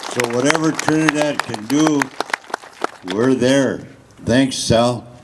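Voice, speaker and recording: With crowd noise in the background, a man at medium pitch talks at a very slow pace with fairly even intonation. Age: 70s. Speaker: community speaker. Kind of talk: public speech at rally. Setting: public event with audience.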